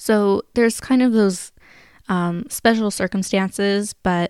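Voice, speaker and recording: In a very clean recording with a silent background, a woman with an American accent speaks with fairly even intonation. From Sacramento, California. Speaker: podcast host, former service volunteer. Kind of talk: solo podcast Q&A. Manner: casual, filler-heavy.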